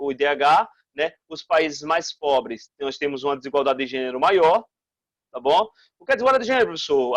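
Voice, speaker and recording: A man's lively intonation in a dry, close sound with no echo. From Brazil, Northeast. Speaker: school teacher. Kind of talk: recorded online lesson. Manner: fast; animated.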